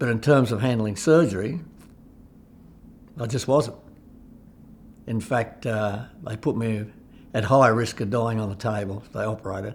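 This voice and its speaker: A man with a somewhat breathy, medium-pitched voice talks at a moderate pace, his loudness swinging widely. Long, frequent pauses break up his speech. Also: ordinary pitch variation. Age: 70s. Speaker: cancer patient. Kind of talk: testimony.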